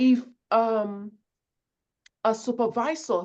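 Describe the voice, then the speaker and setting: A woman with a Nigerian accent speaks at a fairly high pitch in a dark, mellow tone against a quiet background. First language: not English. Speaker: conflict resolution speaker. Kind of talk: webinar presentation.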